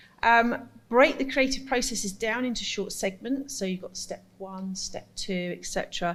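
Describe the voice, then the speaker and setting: A woman is speaking with ordinary pitch variation. Her voice is somewhat breathy. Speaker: carnival arts workshop facilitator. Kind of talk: conference presentation. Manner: soft-spoken.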